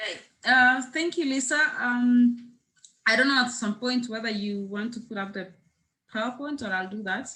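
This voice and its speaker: In a Kenyan accent, a woman speaks with high pitch and a bright, sharp tone. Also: ordinary pitch variation, moderate pace. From Kenya, West Pokot. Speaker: peacebuilder. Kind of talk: panel presentation. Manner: halting with many fillers.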